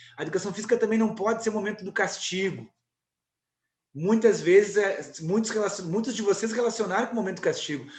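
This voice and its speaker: A man with a high pitch and ordinary pitch variation, going at a fairly quick pace amid audible room echo. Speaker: university lecturer in physical education. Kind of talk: online lecture with Q&A.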